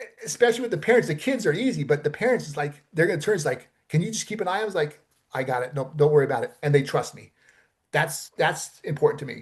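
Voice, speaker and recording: A man rattles along at a very fast pace with lively intonation and a fairly high pitch. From Los Angeles, US West Coast. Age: 60s. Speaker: stuntman and film producer. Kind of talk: interview conversation. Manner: casual, many fillers and repetitions.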